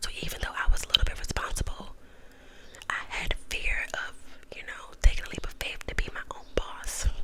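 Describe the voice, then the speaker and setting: The speaker whispers at a moderate pace. Noticeable background noise runs underneath. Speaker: ASMR YouTuber. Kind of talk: whispered ASMR ramble telling a personal story. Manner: whispered, soft-spoken.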